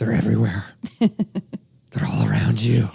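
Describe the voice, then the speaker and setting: In a put-on character voice, the speaker delivers gravelly lines at a fairly slow pace. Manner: ominous, spooky.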